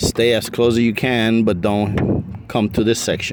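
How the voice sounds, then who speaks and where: A man speaks at a fairly slow pace with a slight non-native accent. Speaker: car restoration hobbyist. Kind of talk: tutorial. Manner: casual, hesitant with fillers.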